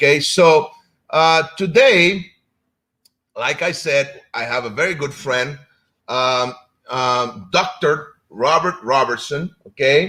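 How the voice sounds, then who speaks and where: A man with a Spanish accent talks very slowly, with long, frequent pauses. His voice is fairly high with a bright, sharp tone and ordinary pitch variation. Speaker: martial arts instructor and show host. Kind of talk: live-stream talk show intro. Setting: live stream. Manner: casual, hesitant with fillers.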